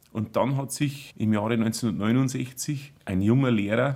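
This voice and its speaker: Intonation stays fairly even while the delivery proceeds very slowly. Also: man. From Bavarian Forest, Bodenmais. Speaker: band conductor and teacher. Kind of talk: casual chat.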